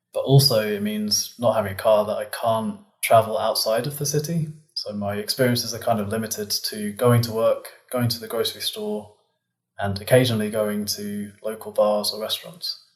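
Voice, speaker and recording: A man with a British accent, at a moderate pace. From England. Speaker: physicist. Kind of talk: interview.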